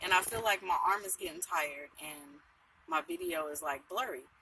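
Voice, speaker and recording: There is noticeable background noise as a woman talks at a fairly quick pace. Her medium-pitched voice has lively intonation. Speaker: van dweller vlogger. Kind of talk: casual vlog monologue.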